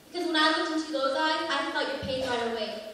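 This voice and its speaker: This woman talks at a fairly quick pace. Noticeable background noise sits behind her. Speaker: pageant contestant. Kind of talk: slam poetry performance.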